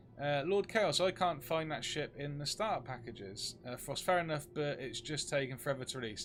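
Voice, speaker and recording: A man with a British accent, lively intonation and a moderate pace, with music in the background. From UK. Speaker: game streamer. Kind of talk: live gameplay stream chat.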